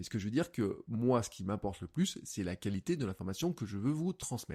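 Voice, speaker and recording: Speaking very fast, a man swings his pitch very widely in a very clean recording with a silent background. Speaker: podcast host and coach. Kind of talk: solo podcast monologue. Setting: home office, untreated room. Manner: energetic.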